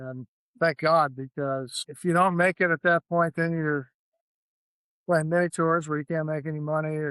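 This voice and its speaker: In a dry, close sound with no echo, a man with an American accent uses a plain, everyday voice at a fairly high pitch and a moderate pace. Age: 60s. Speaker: professional golfer. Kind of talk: interview. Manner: casual.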